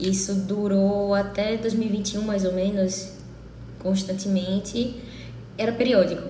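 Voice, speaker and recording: A woman's dark, mellow, somewhat breathy voice at a fairly slow pace, with monotone, flat intonation, long, frequent pauses and audible room echo. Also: medium pitch for a woman. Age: 30s. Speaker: interviewee sharing illness experience. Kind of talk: testimony.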